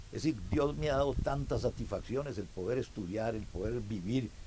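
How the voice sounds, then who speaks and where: Lively in intonation, a man with a dark, mellow tone and vocal fry talks at a moderate pace and medium pitch. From Costa Rica, Alajuela. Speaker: club president. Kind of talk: interview. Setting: outdoors at a small farm.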